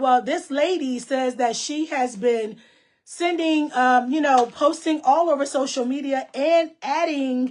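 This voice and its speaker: A loud, high-pitched woman's voice, fairly even in intonation, at a fairly slow pace. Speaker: online show host. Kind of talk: casual chat.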